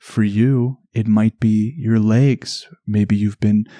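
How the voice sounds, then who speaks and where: In a dry, close recording with no echo, a man with a strong Canadian accent speaks very slowly in a dark, mellow, calm, soothing tone. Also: quiet background. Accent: thick Canadian. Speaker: podcast host. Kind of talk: relaxation podcast narration.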